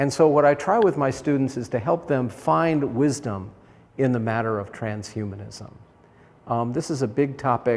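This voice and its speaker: A man with an unremarkable speaking voice talks at a medium pitch and a moderate pace, with ordinary pitch variation. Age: 60s. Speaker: professor. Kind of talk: lecture.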